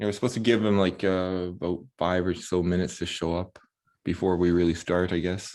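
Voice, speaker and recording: Speaking at a fairly quick pace, a man uses a very deep, low voice with monotone, flat intonation. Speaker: election group participant. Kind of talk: casual discussion. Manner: fast.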